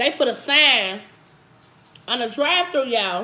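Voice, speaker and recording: The woman's voice makes very wide pitch swings. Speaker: food vlogger. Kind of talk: casual vlog chat. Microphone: phone near.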